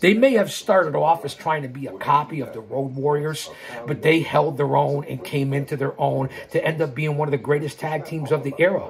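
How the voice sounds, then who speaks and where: Through noticeable background noise, a man speaks at a fairly quick pace with a fairly high pitch and ordinary pitch variation. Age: 60s. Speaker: wrestling commentator and YouTuber. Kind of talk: live stream monologue. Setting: live stream. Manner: animated; repetitive, halting.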